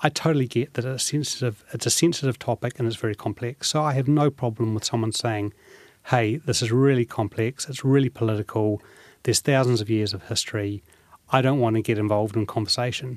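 A man with a New Zealand accent at a very fast pace, medium in pitch with fairly even intonation, in a very clean recording with a silent background and a dry, close sound with no echo. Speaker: businessman. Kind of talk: interview.

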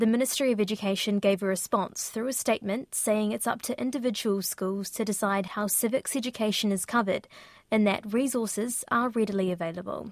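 A woman with a New Zealand accent, fairly high-pitched, at a fairly quick pace with fairly even intonation, on a very clean recording with a silent background. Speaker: radio reporter. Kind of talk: news report.

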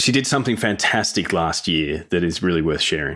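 This man has a very deep, low voice and an Australian accent. He talks at a moderate pace. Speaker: podcast co-host. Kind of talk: casual chat.

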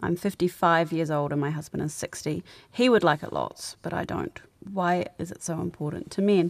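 A woman with a fairly low voice and a New Zealand accent speaks at a moderate pace with ordinary pitch variation, in a very clean recording with a silent background. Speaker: podcast host and producer. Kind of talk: live radio advice show. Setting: studio.

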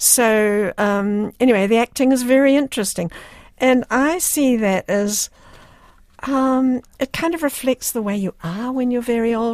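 A woman with a New Zealand accent talks at a high pitch with ordinary pitch variation and a fairly slow pace. The sound is dry and close, with no echo. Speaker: writer and playwright. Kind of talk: radio interview.

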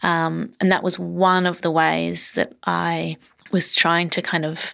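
A woman at a fairly low pitch and a very slow pace. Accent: Australian. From Australia, Melbourne and country Queensland. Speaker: novelist. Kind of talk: interview. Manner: halting, many fillers.

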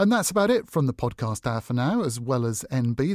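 A man with a New Zealand accent uses lively intonation and a dark, mellow tone in a very clean recording with a silent background and a dry, close sound with no echo. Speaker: radio host. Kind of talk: scripted presenting.

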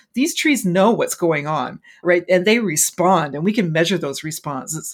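In a normal speaking voice, a woman with a Canadian accent talks at a moderate pace and medium pitch with lively intonation. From Canada, interior British Columbia. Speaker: forest ecology professor. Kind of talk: interview.

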